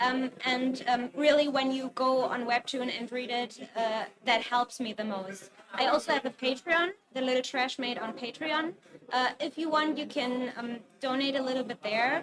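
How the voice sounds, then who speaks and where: There is noticeable background noise as a woman speaks at a high pitch with a German accent. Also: ordinary pitch variation, moderate pace. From Germany. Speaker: webcomic artist. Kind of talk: interview. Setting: convention stage, livestream. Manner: hesitant, many fillers.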